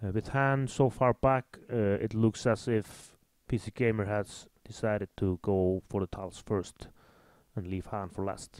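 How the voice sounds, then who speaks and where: A man with an Icelandic accent talks at a fairly slow pace in a fairly low pitch, keeping his intonation fairly even. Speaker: game commentator. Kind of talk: live commentary.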